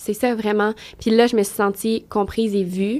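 With a Quebec accent, a woman with a fairly high-pitched voice speaks at a fairly slow pace. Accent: Québécois French. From Quebec, Trois-Rivières. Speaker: fashion model. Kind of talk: casual interview chat.

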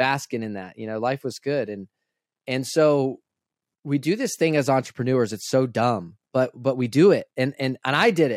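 On a very clean recording with a silent background and a dry, close sound with no echo, a man speaks at a moderate pace. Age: 20s. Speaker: entrepreneur. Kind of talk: casual interview. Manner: animated.

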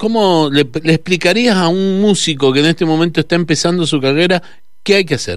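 Speaking in a fairly high pitch, a man shows ordinary pitch variation. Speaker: radio host. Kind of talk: radio interview. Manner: halting.

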